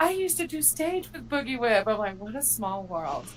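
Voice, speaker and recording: A woman with a Southern US accent talks at a fairly quick pace in a fairly high pitch, with very wide pitch swings. Noticeable background noise can be heard. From Texas, later Georgia. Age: 40s. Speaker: live stream viewer. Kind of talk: casual chat.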